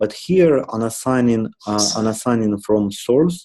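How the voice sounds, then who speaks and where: This man has a medium-pitched voice with a dark, mellow tone. He talks at a moderate pace. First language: not English. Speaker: software architect leading meeting. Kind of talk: work meeting discussion. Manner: halting, many fillers.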